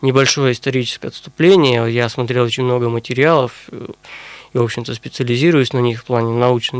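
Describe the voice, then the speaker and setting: In a plain, everyday voice, a man speaks at a moderate pace and medium pitch, with a dry, close sound with no echo. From Russia, Sverdlovsk region (Urals). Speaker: historian and university lecturer. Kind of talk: radio interview. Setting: studio.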